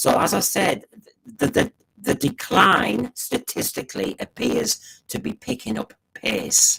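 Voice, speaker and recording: The recording of this man with an English accent has a dry, close sound with no echo. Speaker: podcast host. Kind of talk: solo commentary on TV ratings. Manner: fast; animated.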